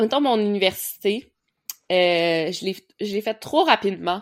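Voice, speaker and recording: A woman speaks with a Quebec accent at a medium pitch and ordinary pitch variation. Her pace is fairly slow, and the recording is very clean with a silent background. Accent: Québécois French. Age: 20s. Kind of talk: casual chat.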